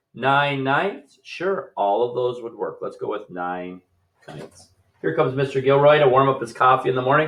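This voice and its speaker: At a moderate pace, the voice shows big swings in loudness. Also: man, fairly high pitch for a man, lively intonation. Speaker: fifth grade teacher. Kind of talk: recorded math lesson. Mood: relaxed, playful.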